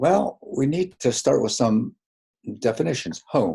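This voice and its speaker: Speaking very slowly in a medium-pitched, dark and mellow tone with vocal fry, the man lets his pitch swing very widely. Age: 80s+. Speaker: clinical psychologist. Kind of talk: webinar presentation. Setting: online webinar. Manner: halting.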